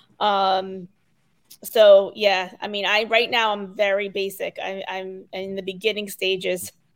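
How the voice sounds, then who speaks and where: A woman with an American accent and a medium pitch speaks at a fairly slow pace in a flat monotone, her loudness swinging widely. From Connecticut, US. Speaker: digital instructional coach. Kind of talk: casual interview chat.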